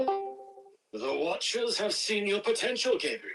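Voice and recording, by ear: A man uses a put-on character voice, high-pitched and slow with big pitch swings. Faint music plays in the background. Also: fairly bright tone.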